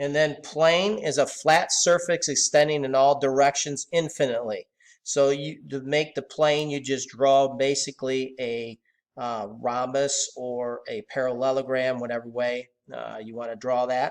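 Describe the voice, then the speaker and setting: Over a quiet background, a man with an ordinary speaking voice talks at a fairly high pitch and a fairly slow pace, using fairly even intonation. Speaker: math teacher. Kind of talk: lecture.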